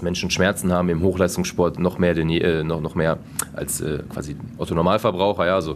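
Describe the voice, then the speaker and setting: This man has a very deep, low pitch. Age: 20s. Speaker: team physiotherapist. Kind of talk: interview. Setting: sports hall after training.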